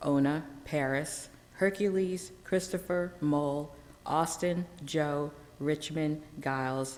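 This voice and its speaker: A woman's voice with audible room echo. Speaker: historian. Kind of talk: lecture. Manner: halting.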